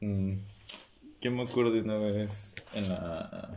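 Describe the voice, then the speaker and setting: Over noticeable background noise with audible room echo, a man speaks with a Mexican accent. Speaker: podcast co-host. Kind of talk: casual chat. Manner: animated.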